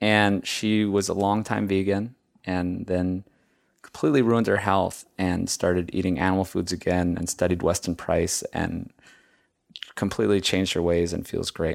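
His voice is very deep and low, with fairly even intonation at a moderate pace. The recording is very clean, with a silent background. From Hawaii. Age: 30s. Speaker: filmmaker and podcast host. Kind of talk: casual interview. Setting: in person.

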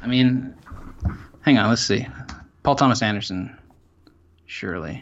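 Audible room echo surrounds a man's medium-pitched voice with ordinary pitch variation. He holds a moderate pace with long, frequent pauses. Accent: American. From North Carolina (Salisbury). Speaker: journalist and filmmaker. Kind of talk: casual chat. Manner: casual, repetitive stammering.

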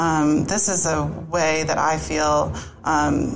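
A woman speaks with an American accent. Noticeable background noise and audible room echo surround her voice. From US Northeast, greater Boston. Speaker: wedding photographer. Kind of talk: casual interview.

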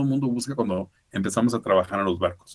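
A man talking at a fairly quick pace. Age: 50s. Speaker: former cruise ship worker. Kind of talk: interview.

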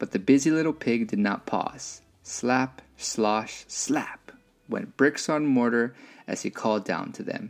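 The reading voice sounds natural. It is simply someone reading.

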